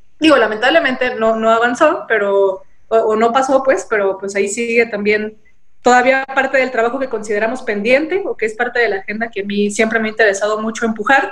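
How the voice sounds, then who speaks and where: The pitch moves in an ordinary way. It is a normal speaking voice. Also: woman, fairly high pitch for a woman, fairly quick pace. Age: 20s. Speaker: politician, party president. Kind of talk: interview.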